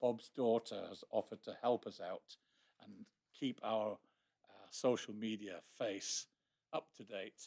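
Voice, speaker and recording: In a dry, close recording with no echo, a man with a plain, everyday voice talks at a fairly slow pace and medium pitch, his intonation fairly even but his loudness swinging widely. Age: 60s. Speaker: astronomy society section speaker. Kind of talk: presentation to a society meeting. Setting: meeting room with live audience.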